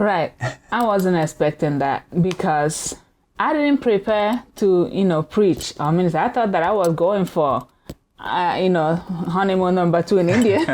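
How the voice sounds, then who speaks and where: A woman's medium-pitched voice with a Nigerian accent, lively intonation, very even loudness and a moderate pace. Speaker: minister. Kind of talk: casual chat.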